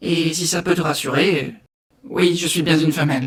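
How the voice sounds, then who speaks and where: A woman does a put-on character voice, raspy and very deep and low in pitch. She keeps to a moderate pace. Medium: read story.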